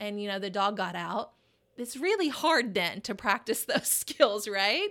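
An unremarkable speaking voice from a woman, medium in pitch, at a fairly slow pace on a very clean recording with a silent background. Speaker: therapist. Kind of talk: casual interview chat.

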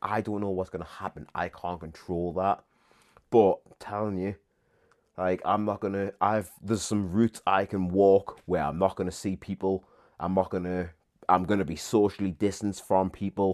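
Against a quiet background, a man speaks at a moderate pace. His very deep, low voice is monotone and flat. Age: 30s. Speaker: fitness coach. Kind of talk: casual monologue. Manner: rambling, repetitive fillers.

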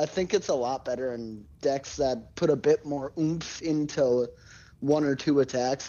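A man speaks at a fairly slow pace in an ordinary speaking voice, his fairly high pitch showing ordinary pitch variation. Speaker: podcast co-host. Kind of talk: casual chat. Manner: joking, irreverent.

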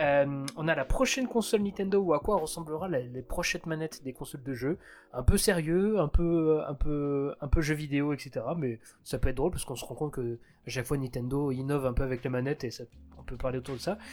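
Pitch shifts in a usual way while the words come out fairly quickly. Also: man. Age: 30s. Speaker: podcast co-host and internet creator. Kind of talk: casual chat. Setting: online voice call. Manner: hesitant.

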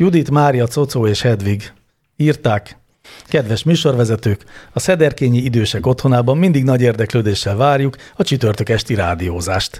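In a very clean recording with a silent background, a man speaks at a medium pitch and a moderate pace. His voice is somewhat breathy, with lively intonation and very even loudness. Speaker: podcast co-host. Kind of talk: casual chat answering listener questions.

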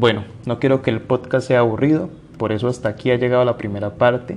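A man talks at a fairly quick pace in an ordinary speaking voice, at a medium pitch with fairly even intonation. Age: 20s. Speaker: podcast host, lawyer and entrepreneur. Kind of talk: solo podcast monologue on anxiety.

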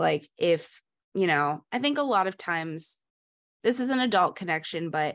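A woman with a plain, everyday voice and lively intonation against a quiet background. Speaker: podcast co-host. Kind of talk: casual chat.

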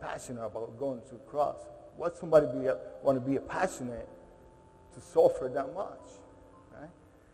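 A man talks fairly quickly while noticeable background noise is heard. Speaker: guest speaker at a military chapel. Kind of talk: testimony. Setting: stage with audience. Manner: halting, repeats words.

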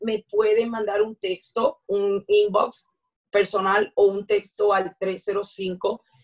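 This woman's medium-pitched voice stays monotone and flat, recorded with a dry, close sound and no echo. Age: 50s. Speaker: personal trainer and fitness instructor. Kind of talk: interview.

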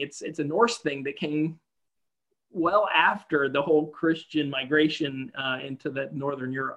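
The man speaks with an American accent. His tone is bright and sharp, and his pace is moderate. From US South. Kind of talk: casual chat.

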